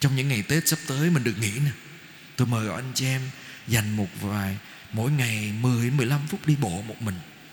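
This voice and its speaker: With a somewhat breathy quality, a man talks at a moderate pace in a medium pitch with ordinary pitch variation. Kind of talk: sermon. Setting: church.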